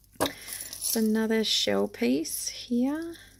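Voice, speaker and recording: A woman speaks very slowly with lively intonation over noticeable background noise. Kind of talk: unboxing haul video.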